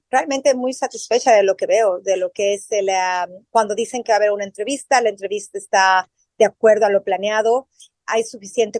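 A woman with a Mexican accent talks at a fairly quick pace and fairly high pitch. Her intonation is fairly even, and the sound is dry and close with no echo. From Mexico City. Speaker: journalist and swim teacher. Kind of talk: interview.

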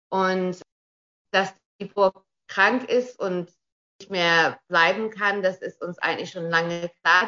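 Very slow speech from a woman, medium in pitch. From Australia. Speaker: castle owner and tourism business operator. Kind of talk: radio interview. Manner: halting, many repeated words.

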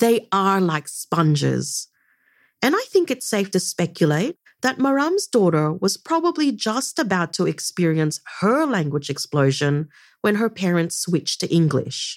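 At a fairly slow pace, a woman speaks with a medium pitch, very wide pitch swings and very even loudness. The sound is dry and close with no echo, on a very clean recording with a silent background. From Philippines. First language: Ilocano. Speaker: podcast host. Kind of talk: scripted narration.

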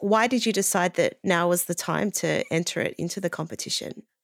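Recorded very cleanly against a silent background, with a dry, close sound and no echo, a woman with an Australian accent speaks at a fairly quick pace in a fairly low pitch with ordinary pitch variation. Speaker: podcast host and editor. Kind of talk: interview.

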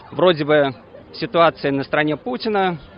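A man speaks at a moderate pace with ordinary pitch variation. Noticeable background noise runs under his voice. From Russia. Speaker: protest organiser. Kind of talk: speech at rally. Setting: outdoors.

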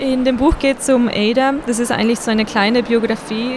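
In a slight Tyrolean accent, a woman speaks with fairly even intonation against noticeable background noise. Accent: slight Tyrolean tinge. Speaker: children's book illustrator. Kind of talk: interview.

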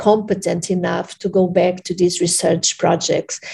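Using a dark, mellow tone, a woman with a Portuguese accent speaks at medium pitch with fairly even intonation. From Portugal, Lisbon. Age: 40s. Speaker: researcher. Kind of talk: interview. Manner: halting, many fillers.

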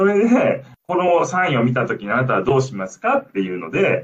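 Very wide pitch swings from a man talking at a fairly quick pace. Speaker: linguistics researcher and former lifeguard. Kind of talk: radio interview. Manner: hesitant, many fillers.

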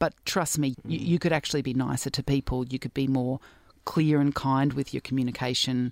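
With an Australian accent, a woman talks at a fairly quick pace in a very deep, low pitch, her intonation fairly even and the sound dry and close with no echo. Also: very clean recording, silent background. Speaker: doctor, cyclist and sports commentator. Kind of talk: interview conversation.

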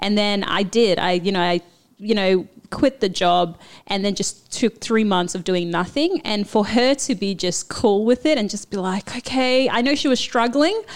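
At a moderate pace, a woman with a Papua New Guinean accent talks at medium pitch with lively intonation on a very clean recording with a silent background. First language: Papua New Guinean language. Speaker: former lawyer, immigrant. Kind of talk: interview.

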